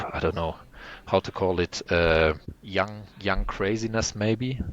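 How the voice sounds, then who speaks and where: A man's very deep, low voice at a fairly slow pace. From southern Germany. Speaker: rum producer. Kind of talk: interview. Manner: halting.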